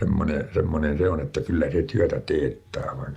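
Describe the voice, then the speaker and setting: A man speaks at a fairly slow pace as music plays in the background. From Pattijoki, Northern Ostrobothnia, Finland. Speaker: farmer. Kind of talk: interview answer. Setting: farmhouse room.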